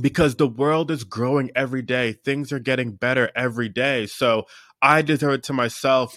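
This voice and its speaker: Speaking in an American accent, a man with an unremarkable speaking voice and a medium pitch talks at a moderate pace with fairly even intonation on a very clean recording with a silent background. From Pennsylvania, US. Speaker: mindset coach. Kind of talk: interview.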